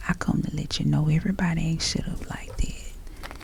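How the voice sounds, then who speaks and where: Whispering in a soothing tone comes through over noticeable background noise. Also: woman. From Southern US. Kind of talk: motivational pep talk. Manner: kind, soothing.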